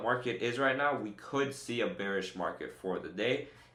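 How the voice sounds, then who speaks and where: In a room with audible echo, a man with a medium pitch and ordinary pitch variation speaks in an energetic tone at a fairly quick pace. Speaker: day trader streamer. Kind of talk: live trading tutorial. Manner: fast; energetic, casual.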